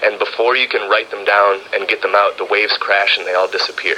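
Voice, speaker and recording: Speaking at a fairly quick pace with an American accent, a man comes through over noticeable background noise. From US Midwest, Wisconsin. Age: 30s. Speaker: music producer. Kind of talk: documentary interview.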